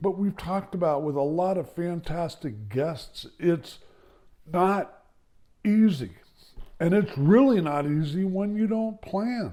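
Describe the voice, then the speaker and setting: A man's high-pitched, dark and mellow voice with lively intonation at a very slow pace. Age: 70s. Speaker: podcast host on elder care. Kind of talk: solo podcast monologue. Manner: conversational.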